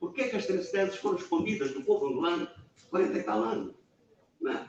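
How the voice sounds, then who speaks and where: The man's pitch swings very widely as he talks. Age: 70s. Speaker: massacre survivor and panelist. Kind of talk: panel discussion at book event. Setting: public talk in a media library.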